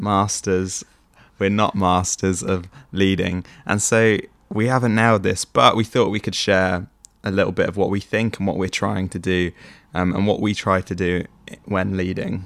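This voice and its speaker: The recording is very clean, with a silent background. A man talks in a very deep, low pitch with monotone, flat intonation. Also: moderate pace. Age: 20s. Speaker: podcast co-host, young church leader. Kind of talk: casual chat.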